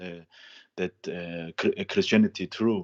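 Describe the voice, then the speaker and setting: Man with a non-native accent, fairly low pitch, fairly even intonation, a very slow pace, and a dry, close sound with no echo. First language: not English. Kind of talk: call-in conversation. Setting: Skype call. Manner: halting, many fillers.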